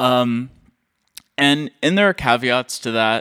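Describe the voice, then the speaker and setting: A man speaks with a bright, sharp tone in a dry, close recording with no echo. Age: 30s. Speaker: composer and producer, podcast host. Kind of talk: solo monologue, casual. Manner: casual, rambling with fillers and laughs.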